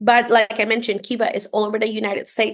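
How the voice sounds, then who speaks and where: A woman speaks at a very fast pace with a Spanish accent. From Costa Rica. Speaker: entrepreneurship program leader. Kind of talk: podcast interview.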